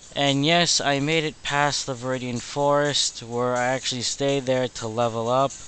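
A man talks at a moderate pace and medium pitch with monotone, flat intonation. He leaves hardly any pauses, and music plays in the background. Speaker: let's play gamer. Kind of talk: casual gameplay commentary. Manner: low-energy, deadbeat.

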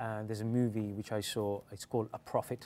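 With a London accent, a man speaks at a moderate pace in a dark, mellow tone. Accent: British English, London area. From England, British Indian. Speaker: actor. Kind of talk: casual interview. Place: studio.

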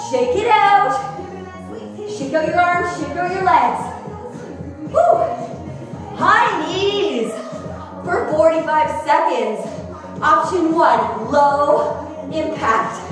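Over clear music and strong room echo, a woman speaks very slowly in an extremely high voice, leaving long, frequent pauses. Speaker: fitness instructor. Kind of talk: workout instruction cues. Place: gym.

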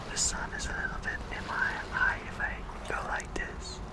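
Loud background noise sits behind a man speaking at a fairly slow pace. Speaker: ASMR creator. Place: boat. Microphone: studio mic.

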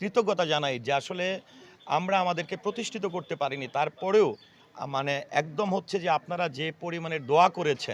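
Ordinary pitch variation runs through a man's high-pitched speech. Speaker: actor. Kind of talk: interview. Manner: halting.

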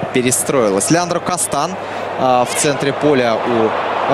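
Noticeable background noise is present while a man talks fairly slowly. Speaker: football commentator. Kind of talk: live sports commentary. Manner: animated.

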